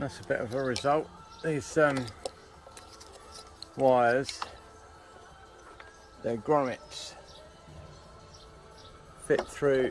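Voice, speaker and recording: A man is speaking. Music plays in the background. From Britain. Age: 60s. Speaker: amateur mechanic. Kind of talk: casual DIY repair talk to camera.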